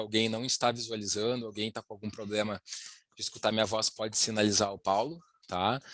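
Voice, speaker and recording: A man talks at a moderate pace with fairly even intonation, in an unremarkable speaking voice. The sound is dry and close with no echo, over a quiet background. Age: 30s. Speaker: wealth planning specialist. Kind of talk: webinar presentation. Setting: online live presentation.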